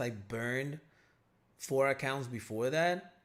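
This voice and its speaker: Speaking with a non-native accent, a man holds a medium pitch and ordinary pitch variation. The recording is very clean and the background silent. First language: not English. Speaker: day trading educator, livestream host. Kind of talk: live stream Q&A. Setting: live stream. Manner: casual, filler-heavy.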